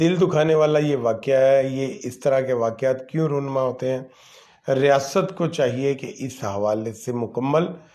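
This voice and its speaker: A man with a medium-pitched voice speaks at a very slow pace, with ordinary pitch variation. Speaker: online talk show host. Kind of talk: live commentary monologue. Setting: livestream. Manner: halting, many fillers.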